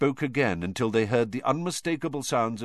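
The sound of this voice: Here the speaker uses an unforced reading voice.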